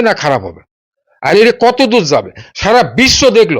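A man's voice shows ordinary pitch variation in a very clean recording where the background is silent. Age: 60s. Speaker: owner of a historic mansion. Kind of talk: interview.

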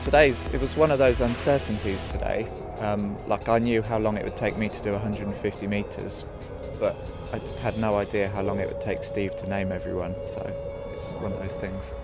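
Loud music plays behind a man talking at a fairly quick pace, the sound dry with no echo. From Britain. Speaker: Olympic sprint kayaker. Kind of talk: interview answer. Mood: relaxed, lightly humorous. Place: waterside. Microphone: lapel.

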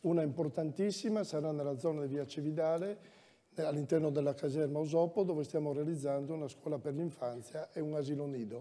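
A man with a dark, mellow tone and a fairly high pitch speaks at a fairly quick pace with ordinary pitch variation. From Udine, Friuli; Friuli. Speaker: incumbent mayor, candidate; candidate. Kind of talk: political debate. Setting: stage with audience. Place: stage. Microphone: lapel.

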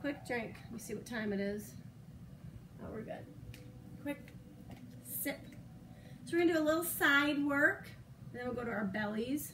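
Over noticeable background noise, a woman with a high voice talks at a moderate pace, leaving long, frequent pauses. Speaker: fitness instructor. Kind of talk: workout class instruction. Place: home room. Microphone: camera far.

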